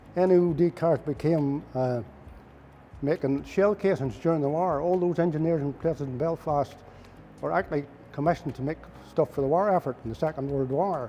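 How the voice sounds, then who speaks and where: Speaking fairly quickly with a Northern Irish accent, a man has a fairly high pitch, a dark, mellow tone and ordinary pitch variation. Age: 80s+. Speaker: retired mechanic. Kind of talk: interview answer, reminiscing.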